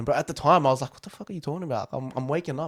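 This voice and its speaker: Animated and very fast, a man talks at a fairly high pitch with ordinary pitch variation in a dry, close recording with no echo. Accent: Australian. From Australia. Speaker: podcast host. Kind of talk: casual chat.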